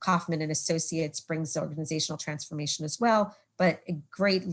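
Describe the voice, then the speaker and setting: A woman with a New York accent at a very deep, low pitch, with fairly even intonation. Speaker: presenter from partner nonprofit. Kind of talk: webinar presentation. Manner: fast.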